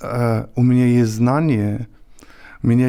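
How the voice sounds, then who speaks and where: A man talks at a very slow pace and a medium pitch. His tone is dark and mellow. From northern Germany. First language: German (speaking Russian). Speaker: podcast guest. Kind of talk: casual conversation. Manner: halting, many fillers.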